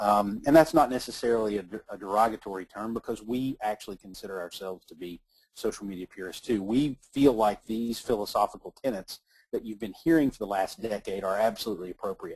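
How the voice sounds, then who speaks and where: Very fast and with big swings in loudness, a man speaks at a fairly low pitch with ordinary pitch variation and a slight Southern accent. The sound is dry and close, with no echo. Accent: slight southern twang. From Kentucky, US South. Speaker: author and social media marketing speaker. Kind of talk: webinar presentation. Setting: webinar, online call. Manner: halting, many fillers.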